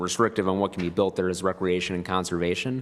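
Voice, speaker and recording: This man's speech stays monotone and flat, pitched very deep and low. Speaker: planning consultant. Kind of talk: meeting presentation. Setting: public meeting room. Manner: fast; hesitant, many fillers.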